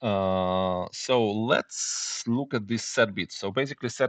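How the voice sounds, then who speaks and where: A man with a non-native accent, fairly low in pitch and very slow, with ordinary pitch variation, a dry, close sound with no echo and a quiet background. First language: not English. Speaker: programming tutor. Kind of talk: tutorial. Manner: halting, many fillers.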